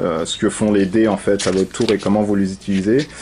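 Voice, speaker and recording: Over noticeable background noise, a man talks at a fairly low pitch in a monotone, flat intonation. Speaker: board game reviewer. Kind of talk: tutorial. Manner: hesitant, many fillers.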